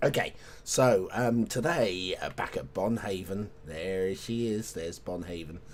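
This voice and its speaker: In a British accent, a man talks with a very deep, low pitch and vocal fry. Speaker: video game streamer. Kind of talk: gameplay commentary. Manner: halting, self-correcting.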